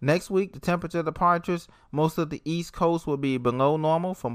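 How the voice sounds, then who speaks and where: A man talks at a very fast pace. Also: very clean recording, silent background. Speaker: weather podcaster. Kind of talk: weather report, forecast read out region by region. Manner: steady, informative, matter-of-fact delivery; some filler words and small stumbles.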